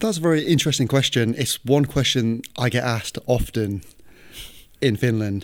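A man's medium-pitched voice with a northern English accent, ordinary pitch variation, and a moderate pace, on a very clean recording with a silent background. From northern England, near Manchester. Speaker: football coach. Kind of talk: casual chat. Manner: halting.

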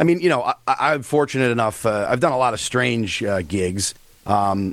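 This man has an unremarkable speaking voice. His pitch sits in the medium range. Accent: American. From US East Coast. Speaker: comedian. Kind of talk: casual chat.

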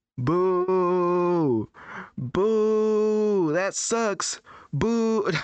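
Someone speaks in a put-on character voice at a middle pitch. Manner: jeering, booing.

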